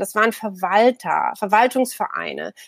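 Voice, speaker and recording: An unremarkable speaking voice from a woman, fairly high in pitch with ordinary variation, at a moderate pace, the sound dry and close with no echo. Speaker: media anthropologist and political scientist. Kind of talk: casual chat.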